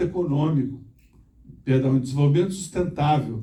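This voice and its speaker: Somewhat breathy, a man talks at a fairly high pitch with a dark, mellow tone. His intonation stays fairly even, and room echo is audible. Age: 60s. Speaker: former mayor and engineer, conference speaker. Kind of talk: conference talk. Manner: halting, with repetitions.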